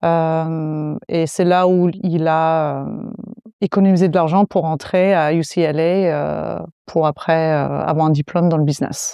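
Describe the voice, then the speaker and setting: A woman with an English accent speaks very slowly in a dark, mellow tone, her fairly low pitch held in a flat monotone. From US, South Florida. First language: English (speaking French). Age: 30s. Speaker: fitness coach. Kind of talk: podcast interview.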